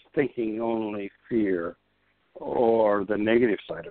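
Music plays in the background as a man speaks. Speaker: minister and author. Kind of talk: interview about a book chapter.

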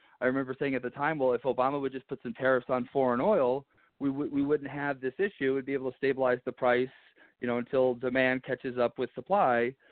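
A man talks at a very fast pace in an American accent. His pitch is medium and his intonation fairly even. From Arizona. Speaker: congressional candidate. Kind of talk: phone interview. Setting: phone call.

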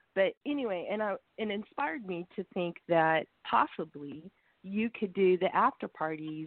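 With a normal speaking voice, a woman talks at fairly low pitch and a moderate pace. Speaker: caller. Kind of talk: casual chat. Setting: phone call.

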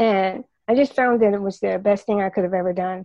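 The woman's voice sits at a medium pitch. It has a dark, mellow tone. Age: 70s. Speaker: retired nurse. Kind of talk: storytelling. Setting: phone call.

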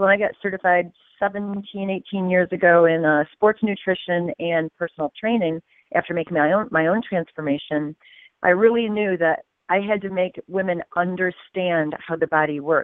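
A woman in an ordinary speaking voice, medium in pitch, at a moderate pace with fairly even intonation. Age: 50s. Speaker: fitness coach. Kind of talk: interview.

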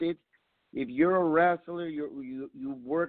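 A man's unremarkable speaking voice, fairly high in pitch, at a moderate pace. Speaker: pro wrestler (luchador). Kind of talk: promo-style wrestling event promotion. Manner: earnest, hyping, emotional.

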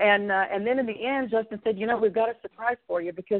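A woman with a Texan accent speaks at a medium pitch with ordinary pitch variation. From Texas, San Antonio. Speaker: country singer. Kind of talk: interview.

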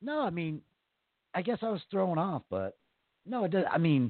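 The pitch swings very widely throughout. The speaker keeps a moderate pace. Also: man. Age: 40s. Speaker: podcast co-host. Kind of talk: casual banter, comedic chat. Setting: live internet radio show.

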